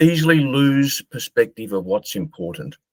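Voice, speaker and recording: A man with an Australian accent at medium pitch, lively intonation and a fairly slow pace, in a dry, close sound with no echo. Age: 60s. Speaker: marketer and author. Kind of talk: interview.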